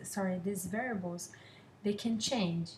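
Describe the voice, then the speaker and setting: Here a woman speaks with a non-native accent. Her pitch is medium and her intonation fairly even. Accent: foreign. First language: not English. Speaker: student. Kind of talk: class presentation. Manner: halting, many fillers.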